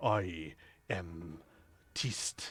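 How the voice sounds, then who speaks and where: In a put-on character voice, a man talks with a raspy, very deep, low pitch. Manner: proud.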